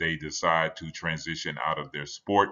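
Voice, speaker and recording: A man speaks at a very deep, low pitch. The background is quiet. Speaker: conference presenter. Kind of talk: lecture. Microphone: webcam.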